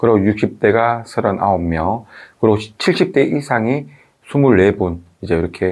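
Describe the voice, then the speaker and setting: Fairly low-pitched male speech at a fairly slow pace, with ordinary pitch variation against a quiet background. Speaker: video commentator. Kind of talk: talk-to-camera commentary. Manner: hesitant, many fillers.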